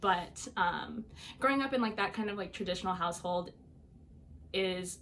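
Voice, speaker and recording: A woman with a Midwestern US accent talks at a fairly quick pace, her medium-pitched voice showing ordinary pitch variation. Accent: US Midwest. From Iowa, US Midwest. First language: Albanian. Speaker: college student. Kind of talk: personal interview story. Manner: casual with many fillers.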